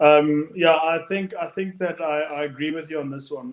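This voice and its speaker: A man speaks at a fairly high pitch and a moderate pace. His intonation stays fairly even. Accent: South African. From South Africa. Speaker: rugby podcast co-host. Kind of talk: casual chat.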